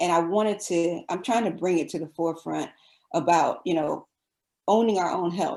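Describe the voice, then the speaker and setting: Her voice is fairly low for a woman, with ordinary pitch variation. She speaks at a moderate pace. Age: 50s. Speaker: physician. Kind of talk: podcast interview. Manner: hesitant, many fillers.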